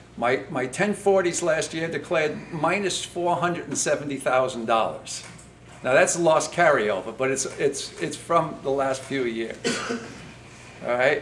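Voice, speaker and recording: Through noticeable background noise, a man talks at a moderate pace at fairly high pitch with ordinary pitch variation. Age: 60s. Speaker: commercial fishing vessel owner. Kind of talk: public comment at meeting. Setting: public meeting with senators. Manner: halting, many fillers.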